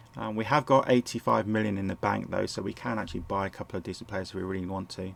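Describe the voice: Speaking at a fast pace, a man with a fairly low pitch and vocal fry keeps his intonation fairly even.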